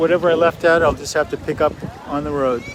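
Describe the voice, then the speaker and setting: Through noticeable background noise, a man with a fairly high pitch speaks with fairly even intonation. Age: 60s. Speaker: artist vlogger. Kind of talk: casual vlog monologue. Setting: outdoors. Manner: halting, many fillers.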